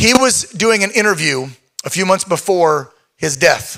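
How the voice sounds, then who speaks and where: In a raised, projected voice, a man speaks fairly slowly at a high pitch, his tone bright and sharp and his intonation lively. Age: 50s. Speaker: event emcee and show host. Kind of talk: live event emceeing.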